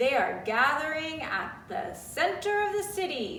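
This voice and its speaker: A put-on character voice, high-pitched and fairly slow, with slight echo. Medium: read story. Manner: assured, welcoming.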